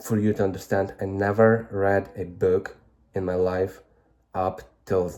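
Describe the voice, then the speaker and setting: A man with a Ukrainian accent speaks fairly slowly in a fairly low, dark, mellow voice, his monotone, flat delivery marked by long, frequent pauses. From Ukraine. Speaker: vlogger. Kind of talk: casual vlog monologue. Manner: halting.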